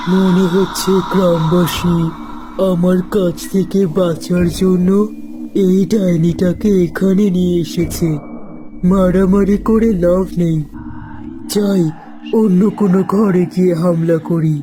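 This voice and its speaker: Over loud background noise, a cartoonish character voice at middle pitch speaks at a very slow pace in a menacing tone. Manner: cackling, menacing.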